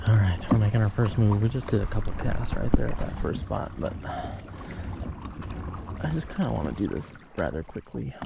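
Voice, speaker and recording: Pitch swings very widely at a moderate pace, broken by long, frequent pauses over noticeable background noise. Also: man, fairly low pitch for a man. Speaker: fishing vlogger. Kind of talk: casual vlog narration. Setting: outdoors on a kayak at a lake. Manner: whispering.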